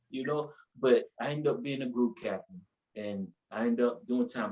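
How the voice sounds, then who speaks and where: This voice has lively intonation and an animated tone, with a North Carolina accent. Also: man. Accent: Southern US, North Carolina. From US South, North Carolina (Asheville). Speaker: preacher. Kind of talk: testimony. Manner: animated storytelling.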